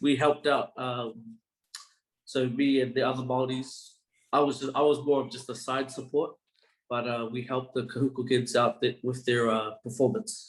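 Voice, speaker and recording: A man with an Australian accent speaks in a medium pitch. His pace is moderate and his intonation fairly even. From Australia, Brisbane. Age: 20s. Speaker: university student. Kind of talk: interview.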